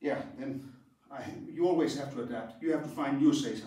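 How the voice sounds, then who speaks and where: Amid noticeable background noise and audible room echo, a man with a Danish accent speaks at a moderate pace with lively intonation. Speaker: karate instructor. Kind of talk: tutorial. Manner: halting.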